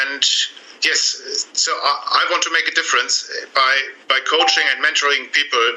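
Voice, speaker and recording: A man with a German accent, at a moderate pace and very even loudness, over noticeable background noise. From Germany. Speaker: relationship coach. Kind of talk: interview. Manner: halting.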